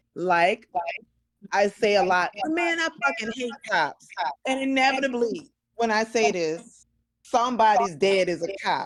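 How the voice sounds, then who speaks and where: Loud and fairly high-pitched, a woman speaks at a fairly slow pace with very wide pitch swings. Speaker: podcast co-host. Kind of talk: casual chat.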